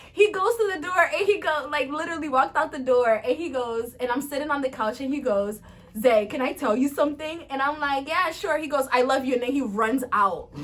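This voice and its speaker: With an African accent, a woman talks fairly quickly in a high pitch and an animated tone, hardly pausing at all. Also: lively intonation. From Cape Verde. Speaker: vlogger. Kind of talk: casual chat.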